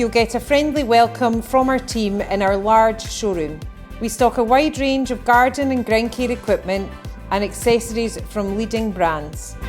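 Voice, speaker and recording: A woman's fairly high-pitched voice at a moderate pace, with ordinary pitch variation and music in the background. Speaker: business promotional narrator. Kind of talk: corporate promotional narration.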